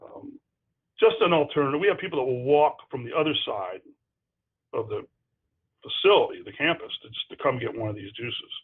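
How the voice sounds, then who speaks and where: The voice belongs to a man. He talks at a fairly quick pace. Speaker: hospital food service director. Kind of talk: webinar presentation. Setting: online webinar. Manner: fast; animated.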